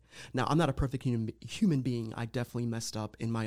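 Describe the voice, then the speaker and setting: Intonation here is fairly even. The delivery is very fast. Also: man. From Lorain County, Ohio, Puerto Rican family. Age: 30s. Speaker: guest sharing mental health story. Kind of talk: casual interview, personal testimony.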